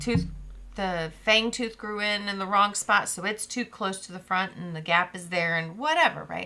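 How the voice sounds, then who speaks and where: A woman speaks at a moderate pace with ordinary pitch variation. Noticeable background noise runs under her voice. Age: 40s. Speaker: podcast co-host. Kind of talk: casual chat. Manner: loud laugh.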